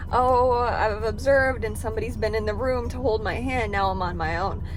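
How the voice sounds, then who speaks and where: A woman speaks at a fairly quick pace. Audible room echo and noticeable background noise surround her voice. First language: not English. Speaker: therapist intern, vlogger. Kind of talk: casual vlog chat. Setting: arrived early at internship, recording before going in.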